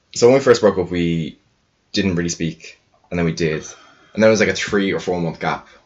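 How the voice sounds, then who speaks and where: A man with an Irish accent speaks in a very deep, low voice at a fairly quick pace. His pitch varies in an ordinary way, and he takes long, frequent pauses. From Ireland. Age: 20s. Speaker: podcast guest. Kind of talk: casual chat.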